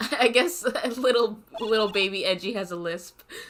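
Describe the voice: Text read plainly aloud, ordinary variation in pitch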